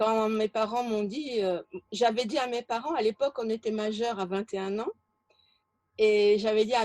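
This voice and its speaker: A fairly high-pitched woman at a moderate pace, with fairly even intonation and a dry, close sound with no echo. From France, childhood in French Algeria. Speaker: interview guest. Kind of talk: interview. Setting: video call. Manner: halting.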